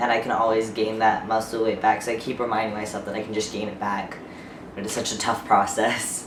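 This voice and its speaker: With monotone, flat intonation, a man speaks at a fairly quick pace amid noticeable background noise and audible room echo. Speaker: vlogger. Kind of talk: casual vlog. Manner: hesitant, filler-heavy.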